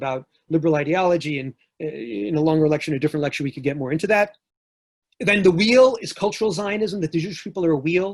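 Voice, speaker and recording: Lively intonation at a very fast pace, with an American accent. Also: man. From New York. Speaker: professor. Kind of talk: lecture.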